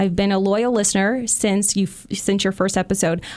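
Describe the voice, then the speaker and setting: This woman talks at a very fast pace, her medium pitch held in a fairly even intonation. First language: not English. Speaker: podcast co-host reading listener messages. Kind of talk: reading aloud.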